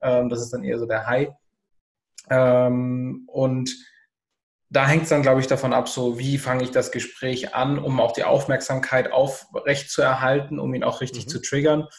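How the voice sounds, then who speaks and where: A somewhat breathy male voice at medium pitch. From southern Germany. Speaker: entrepreneur. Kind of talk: casual chat.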